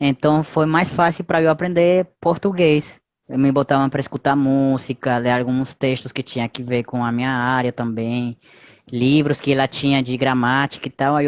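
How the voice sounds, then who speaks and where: A moderate pace against a quiet background. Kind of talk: casual, conversational.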